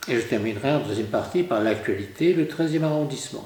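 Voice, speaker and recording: Noticeable background noise sits behind a man speaking at a fairly quick pace. His fairly high voice moves in very wide pitch swings. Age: 80s+. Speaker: Dominican priest and retired lecturer. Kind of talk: lecture.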